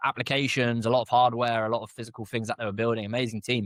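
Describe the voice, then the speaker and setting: A man talks in a British accent at a medium pitch, his intonation monotone and flat. The recording is very clean with a silent background, and the sound is dry and close with no echo. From UK. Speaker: entrepreneur, media founder. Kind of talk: interview.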